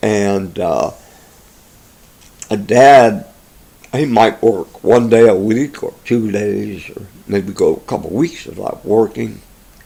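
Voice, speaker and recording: Here is a man with an American accent and a fairly low pitch. His tone is dark and mellow, with vocal fry. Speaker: interviewee recounting family history. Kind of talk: oral history interview. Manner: halting, many fillers.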